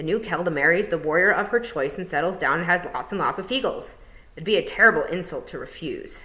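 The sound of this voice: The clip features an unforced reading voice.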